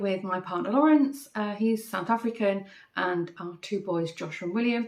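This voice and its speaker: With a Manchester accent, a woman talks at a moderate pace and medium pitch, using ordinary pitch variation. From northern England, Manchester. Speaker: craft podcaster. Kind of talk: casual chat. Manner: hesitant, many fillers.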